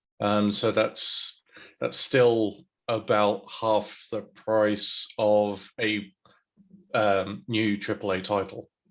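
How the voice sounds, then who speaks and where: In a British accent, the voice moves at a very slow pace with monotone, flat intonation over a quiet background. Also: man, fairly low pitch for a man. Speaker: Twitch variety streamer. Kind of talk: casual chat.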